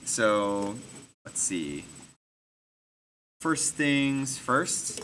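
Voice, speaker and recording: The man's intonation is lively. His voice carries audible room echo. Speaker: design instructor. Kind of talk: tutorial. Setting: classroom with students. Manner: casual with many fillers.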